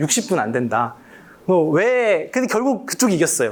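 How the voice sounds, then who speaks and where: Very wide pitch swings at a fairly quick pace. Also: man. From Korea, Daejeon. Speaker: professor. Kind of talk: public lecture. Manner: casual, conversational with fillers.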